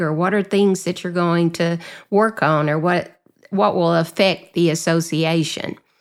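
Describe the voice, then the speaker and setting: A woman's fairly low voice in a Southern US accent, on a very clean recording with a silent background. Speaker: association executive director and podcast host. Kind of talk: casual interview chat.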